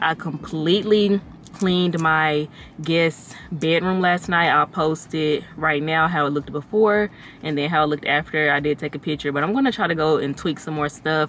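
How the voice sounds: A woman speaks at a moderate pace in a low pitch, her tone fairly bright and her pitch variation ordinary.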